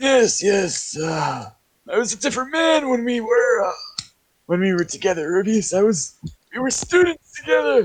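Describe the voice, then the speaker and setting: A man uses a put-on character voice, high in pitch and at a moderate pace. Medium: actual play. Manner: rambling, hesitant, friendly.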